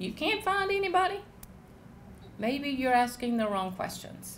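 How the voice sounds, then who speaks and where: A woman with a Southern accent speaks at a very slow pace with ordinary pitch variation. Audible room echo and noticeable background noise fill the recording. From US South, South Georgia. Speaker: agricultural leader and speaker. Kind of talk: panel talk.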